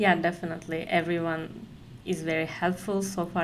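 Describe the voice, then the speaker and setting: Speaking at a fairly slow pace, a woman with a Turkish accent and a fairly low pitch is heard with audible room echo. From Turkey, Konya. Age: 20s. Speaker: company employee. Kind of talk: casual interview. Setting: office.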